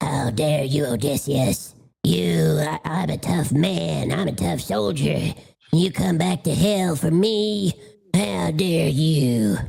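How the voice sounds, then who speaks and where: This put-on character voice is raspy, sits at a low-to-middle pitch, and moves at a fairly slow pace. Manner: gruff, indignant.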